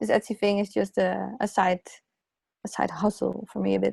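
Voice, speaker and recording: A dark, mellow voice with a non-native accent at a moderate pace, in a very clean recording with a silent background and a dry, close sound with no echo. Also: woman. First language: not English. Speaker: illustrator and graphic designer. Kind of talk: podcast interview. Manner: hesitant, many fillers and restarts.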